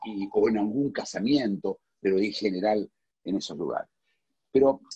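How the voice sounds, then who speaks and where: A man with an Argentine accent speaks at a moderate pace in a fairly low pitch with ordinary pitch variation. His tone is dark and mellow, and the sound is dry and close with no echo. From Argentina. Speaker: philosopher. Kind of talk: casual chat. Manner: loud; halting.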